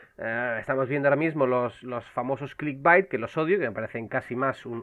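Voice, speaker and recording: This man has a medium pitch with ordinary pitch variation. He keeps a moderate pace. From Canary Islands (Las Palmas). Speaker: video game publisher co-founder and marketing director. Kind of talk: casual interview chat.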